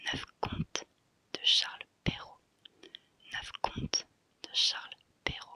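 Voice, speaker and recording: A woman whispers at a very slow pace, with long, frequent pauses. The sound is dry and close, with no echo. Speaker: ASMR content creator. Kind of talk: ASMR whispered book-title reading. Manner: whispered, soft, slow, repeating each title twice.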